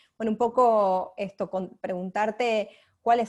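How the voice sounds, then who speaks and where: Her intonation stays monotone and flat. The speaker is a woman. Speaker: moderator. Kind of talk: panel discussion. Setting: video call. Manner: fast.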